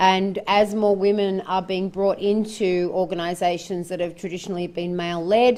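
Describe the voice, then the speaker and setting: An Australian accent at a moderate pace, hardly any pauses, monotone and flat in intonation, with a dark, mellow tone. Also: woman, medium pitch for a woman. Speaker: forum facilitator. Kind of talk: panel presentation at a forum. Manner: loud.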